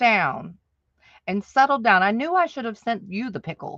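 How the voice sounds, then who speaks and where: Against a quiet background, a woman's bright, sharp, animated voice swings very widely in pitch, with a dry, close sound and no echo. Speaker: livestream host. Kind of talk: casual live chat.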